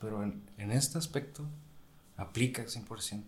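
A man's fairly slow delivery, ordinary in its pitch variation. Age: 20s. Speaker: medical student. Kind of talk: casual chat.

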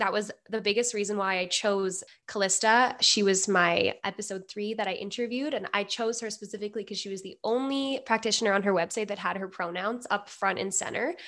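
A woman with a Canadian accent speaks fairly quickly with hardly any pauses, in a plain, everyday voice. Her pitch is medium, with ordinary pitch variation. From Alberta, Canada. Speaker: university student and youth project organizer. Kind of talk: casual interview.

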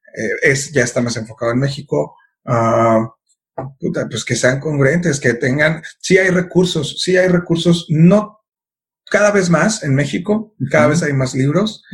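A man's somewhat breathy, fairly high voice with lively intonation at a fairly slow pace. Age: 30s. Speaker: filmmaker. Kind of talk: casual chat.

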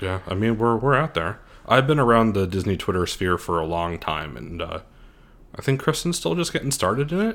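A man's fairly low voice, fairly quick, with very wide pitch swings. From Scranton, Pennsylvania. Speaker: podcast co-host and theme park vlogger. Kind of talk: casual chat.

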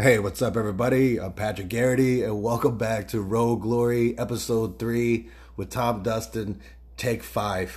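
A man speaks in a medium pitch with a somewhat breathy quality. His intonation stays fairly even. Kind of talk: casual banter, heckling-style quips. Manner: quick, sarcastic, deadpan interjections.

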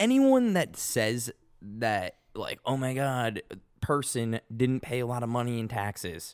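In a very clean recording with a silent background, a man with an American accent talks at a fairly slow pace in a medium pitch with ordinary pitch variation. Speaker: podcast co-host. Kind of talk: casual banter, profane.

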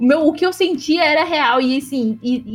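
Ordinary pitch variation at a fairly slow pace. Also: woman. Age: 20s. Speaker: law graduate and social project activist. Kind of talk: casual chat.

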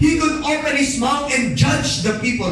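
At a fairly slow pace, a man with a Filipino accent speaks over noticeable background noise. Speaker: pastor. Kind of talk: sermon. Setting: church. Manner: animated; fervent.

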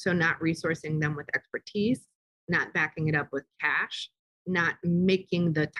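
A woman with an ordinary speaking voice talks at a moderate pace and fairly low pitch with fairly even intonation, in a dry, close sound with no echo. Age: 40s. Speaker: consultancy CEO, former nonprofit director. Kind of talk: interview. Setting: same room as co-guest.

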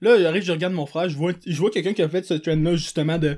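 On a very clean recording with a silent background, a man speaks fairly quickly at a fairly high pitch with fairly even intonation, in a plain, everyday voice. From Quebec, Montreal south shore. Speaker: podcast host. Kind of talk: casual chat.

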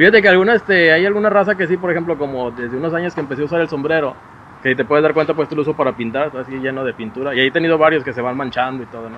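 A man talks at a very fast pace with a fairly high pitch and ordinary pitch variation. His loudness swings widely over noticeable background noise. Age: 40s. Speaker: podcast host. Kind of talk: casual interview chat. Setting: home recording with camera.

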